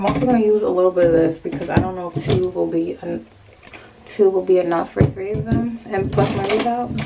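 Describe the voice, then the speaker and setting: A woman speaks at a fairly quick pace and medium pitch, her intonation lively. Noticeable background noise sits behind her. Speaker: hair and lifestyle vlogger. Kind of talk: casual vlog talk. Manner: casual, slangy, chatty.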